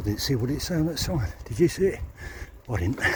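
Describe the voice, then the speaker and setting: A man talking at a very fast pace with very wide pitch swings, over noticeable background noise. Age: 60s. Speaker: cycling vlogger. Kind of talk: casual vlog narration. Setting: outdoors on a bike. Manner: relaxed, conversational.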